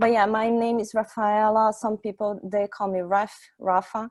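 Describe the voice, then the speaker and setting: A woman with a Brazilian accent speaks at a very slow pace, with a dry, close sound with no echo and a quiet background. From Brazil, Santos. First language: Portuguese. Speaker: software testing engineer, meetup speaker. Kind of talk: tech talk presentation. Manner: halting, many fillers.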